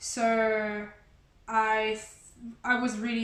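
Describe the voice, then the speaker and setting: A woman speaks with a fairly high pitch and monotone, flat intonation. Audible room echo surrounds her voice. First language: Chinese. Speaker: YouTuber. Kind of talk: casual chat. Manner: halting.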